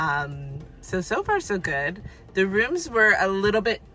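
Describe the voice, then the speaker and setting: A woman speaks at a fairly slow pace in a dry sound with no echo, with faint music in the background. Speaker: travel vlogger. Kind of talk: casual vlog chat. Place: car. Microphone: phone near.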